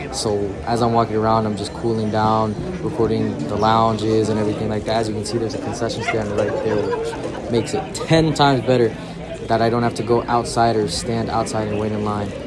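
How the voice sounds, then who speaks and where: A man talks at a fairly quick pace, with crowd noise behind him. Room echo is audible. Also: medium pitch for a man, fairly even intonation. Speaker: vlogger. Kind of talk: vlog narration. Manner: fast; casual, filler-heavy.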